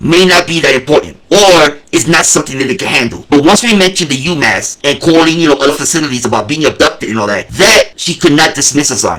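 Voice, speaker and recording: Over noticeable background noise, a man with a fairly high pitch and ordinary pitch variation talks at a very fast pace with hardly any pauses. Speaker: channel host, activist. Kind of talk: casual monologue.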